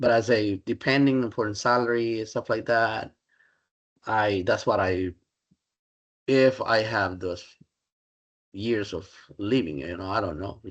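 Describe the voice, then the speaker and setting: A man with a Spanish accent, fairly low in pitch, with ordinary pitch variation and long, frequent pauses against a quiet background. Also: fairly slow pace. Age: 60s. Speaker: Spanish professor. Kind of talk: interview. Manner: halting.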